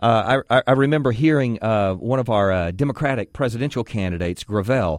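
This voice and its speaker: An ordinary speaking voice: a man with an American accent talks fairly quickly with lively intonation. The sound is dry and close with no echo, over a quiet background. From Texas. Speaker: guest radio host. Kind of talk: call-in talk radio. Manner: conversational, frequent fillers.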